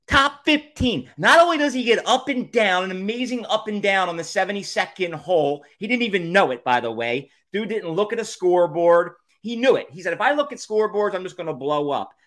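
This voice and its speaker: With a Philadelphia accent, the speaker sounds animated, moving at a fairly quick pace with very wide pitch swings and big swings in loudness. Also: man, high pitch for a man. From Philadelphia area / South Jersey shore. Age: 40s. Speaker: podcast host. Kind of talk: casual solo monologue.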